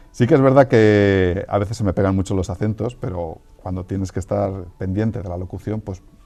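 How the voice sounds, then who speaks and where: Over music in the background, a man talks at a fairly quick pace with a fairly low pitch. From Castile, Spain (Valladolid). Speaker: software engineer, writer and voice-over artist. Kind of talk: interview conversation.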